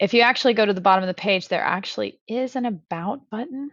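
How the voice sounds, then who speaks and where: Lively intonation and a fairly quick pace come through in a dry, close recording with no echo and a quiet background. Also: woman. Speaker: school librarian. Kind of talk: tutorial.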